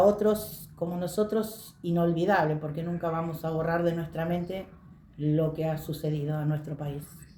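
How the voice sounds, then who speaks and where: A woman with a fairly low pitch and a dark, mellow tone speaks at a fairly slow pace with fairly even intonation. Audible room echo surrounds her. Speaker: witness sharing memories. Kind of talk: testimony.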